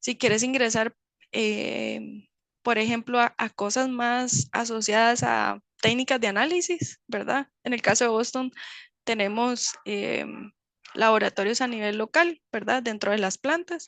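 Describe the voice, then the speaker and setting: Over a quiet background, a woman with a fairly high pitch speaks at a fairly slow pace with ordinary pitch variation. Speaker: chemist in medical device industry. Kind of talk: webinar Q&A talk. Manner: hesitant, many fillers.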